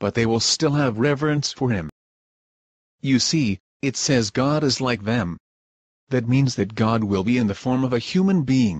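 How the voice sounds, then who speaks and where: In a put-on character voice with lively intonation, the speaker goes at a moderate pace with very even loudness and long, frequent pauses. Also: man, medium pitch for a man. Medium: stage play. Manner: insistent.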